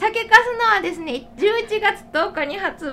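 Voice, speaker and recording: A raised, projected voice with very wide pitch swings. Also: woman. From Shiga, Japan. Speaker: podcast host and food writer. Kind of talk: casual chat. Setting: recorded in a shop.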